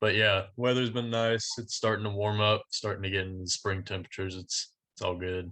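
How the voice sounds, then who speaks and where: In a Texan accent, a man speaks at a fairly quick pace with a fairly low pitch and a bright, sharp tone. His intonation is flat and monotone, over a quiet background. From Texas (Denton County, Dallas-Fort Worth area). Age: 20s. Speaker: country singer-songwriter. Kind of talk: casual interview.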